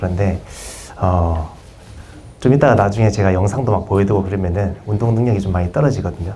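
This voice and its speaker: A man with a fairly low pitch talks over noticeable background noise, with audible room echo. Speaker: PE teacher presenting at conference. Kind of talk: conference presentation. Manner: fast; hesitant, many fillers.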